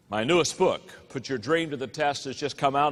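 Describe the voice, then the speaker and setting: A man speaks at a fairly quick pace. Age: 60s. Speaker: guest speaker and author. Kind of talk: sermon. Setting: church with audience. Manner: animated.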